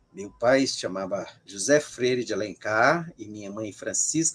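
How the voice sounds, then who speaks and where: In a Ceará accent, a man speaks at a fairly slow pace with lively intonation. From Brazil, Ceará. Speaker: sociologist of religion. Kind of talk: interview. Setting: live stream.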